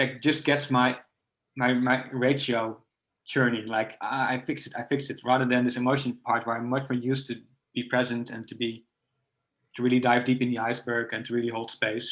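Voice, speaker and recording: The delivery is monotone, with flat intonation. The pace is fairly quick. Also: man, medium pitch for a man. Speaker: coach and nonviolent communication trainer. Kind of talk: casual chat. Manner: fast.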